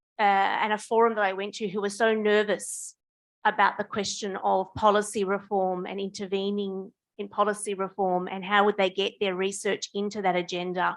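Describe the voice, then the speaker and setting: Against a quiet background, a woman with an Australian accent speaks at a moderate pace and medium pitch with monotone, flat intonation. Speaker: union official and novice researcher. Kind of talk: audience comment at academic forum. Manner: halting, with many false starts.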